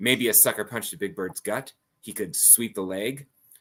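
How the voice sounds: A natural reading voice with ordinary pitch variation, set against a quiet background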